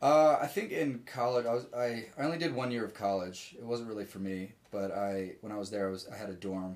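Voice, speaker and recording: With an American accent and an unremarkable speaking voice, a man talks at a fairly quick pace, his medium pitch showing ordinary variation. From Richmond, Virginia. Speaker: musician. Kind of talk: casual chat. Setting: home office.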